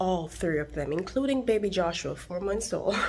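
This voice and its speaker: Her pitch rises and falls across a very wide range. This woman keeps a fairly slow pace. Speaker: fitness vlogger. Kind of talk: casual vlog chat. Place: garage. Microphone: phone near.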